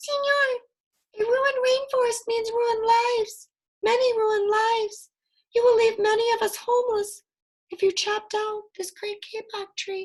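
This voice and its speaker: A woman does a put-on character voice that is squeaky and extremely high in pitch. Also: moderate pace. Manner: pleading.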